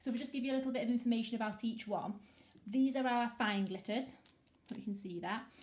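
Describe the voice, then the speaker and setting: This woman's voice is fairly high in pitch. It has a somewhat breathy quality. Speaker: small business owner selling resin art supplies. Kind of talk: product demo talk to camera.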